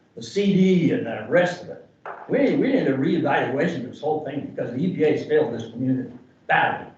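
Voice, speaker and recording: A man with an American accent talks at a very fast pace and a fairly high pitch, with lively intonation and big swings in loudness. Audible room echo and noticeable background noise fill the recording. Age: 70s. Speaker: community member. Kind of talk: public comment. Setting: public meeting. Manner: animated.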